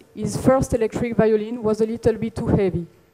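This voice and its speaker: A woman in a French accent, fairly high-pitched, with fairly even intonation. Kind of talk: conference talk.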